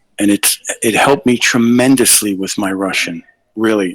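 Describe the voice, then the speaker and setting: A man with a New York accent talks at a moderate pace in a fairly low voice, with a dry, close sound and no echo. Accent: New York American English. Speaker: English tutor, caller. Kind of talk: casual live stream chat. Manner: hesitant, many fillers.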